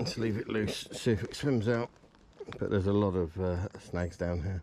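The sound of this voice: Speaking at a moderate pace, a man with a low pitch and a slightly mellow tone lets his pitch vary in an ordinary way.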